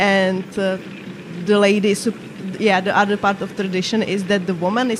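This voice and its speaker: A woman with a non-native accent speaks at a medium pitch and fairly quick pace, her intonation monotone and flat, with noticeable background noise. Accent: foreign. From Czech Republic, Moravia. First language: Czech. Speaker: gaming streamer. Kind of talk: casual chat. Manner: halting.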